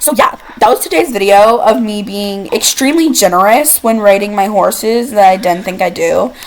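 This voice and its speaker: Against noticeable background noise, a woman with a fairly high pitch sounds animated, speaking with hardly any pauses and ordinary pitch variation. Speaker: gaming YouTuber. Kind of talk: casual game commentary. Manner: fast.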